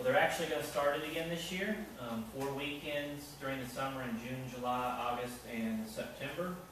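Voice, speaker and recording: A man's voice comes through noticeable background noise and strong room echo. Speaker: event host. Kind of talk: announcements before a lecture. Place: hall. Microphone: camera far.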